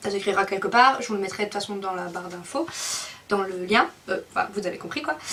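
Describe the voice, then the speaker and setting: Noticeable background noise surrounds a woman as she speaks. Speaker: video blogger. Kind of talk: casual vlog update.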